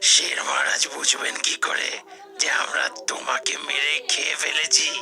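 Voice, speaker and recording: In a cartoonish character voice, a raspy speaker moves at a fairly slow pace over clear background noise. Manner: mocking, jokey.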